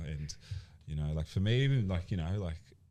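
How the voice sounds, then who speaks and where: The speaker is a man. He has an Australian accent. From Australia, born in Colombia. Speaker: personal trainer and gym owner. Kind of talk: casual podcast interview. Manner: halting, many fillers.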